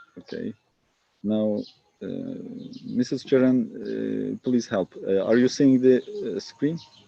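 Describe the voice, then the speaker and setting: A man with a Turkish accent talks at a very slow pace, leaving long, frequent pauses. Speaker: family doctor and public health researcher. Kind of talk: lecture. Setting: video call from a village garden. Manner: halting.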